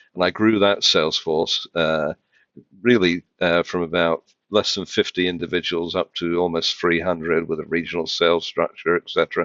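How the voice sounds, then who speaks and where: This man has a very deep, low voice and talks in a flat monotone with a British accent. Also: moderate pace. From UK. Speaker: financial tech executive. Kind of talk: podcast interview. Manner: hesitant, many fillers.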